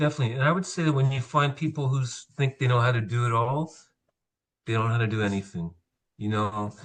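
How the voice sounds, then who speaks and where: Against a quiet background, a man talks at a very fast pace in a somewhat breathy, medium-pitched voice. His pitch varies in an ordinary way. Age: 60s. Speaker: landscaper. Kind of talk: casual chat. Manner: hesitant, many fillers.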